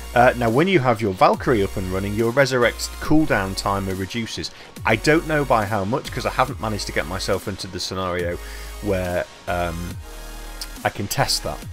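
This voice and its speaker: Music plays behind a man speaking at a fairly quick pace. His fairly low pitch moves in very wide swings. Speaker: gaming video creator. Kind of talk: game commentary. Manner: quiet.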